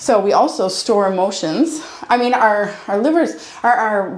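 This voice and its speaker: A woman speaks with lively intonation. Noticeable background noise can be heard. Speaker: chiropractor. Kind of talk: chiropractic ASMR session, casual talk with a patient. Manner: warm, conversational, reassuring.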